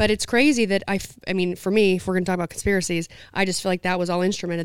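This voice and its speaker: A woman with an American accent speaks very fast at a medium pitch, keeping her intonation fairly even. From southern Utah. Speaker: podcast co-host, rancher. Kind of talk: casual chat. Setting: event venue.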